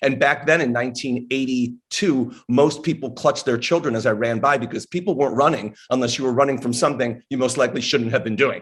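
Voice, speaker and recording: Ordinary pitch variation marks this man's delivery in a normal speaking voice. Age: 60s. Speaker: author and former personal trainer. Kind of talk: podcast interview. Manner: conversational storytelling.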